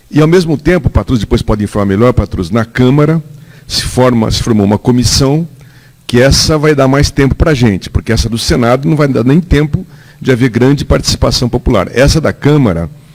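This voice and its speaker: A man at a medium pitch talks at a moderate pace, his intonation lively, with noticeable background noise behind him. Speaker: political staffer at an audience debate. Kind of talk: public debate comment.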